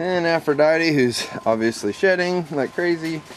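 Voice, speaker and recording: A fairly slow pace with light background noise behind it. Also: man. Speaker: rabbit breeder. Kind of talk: casual video tour. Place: farm machine. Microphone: phone near.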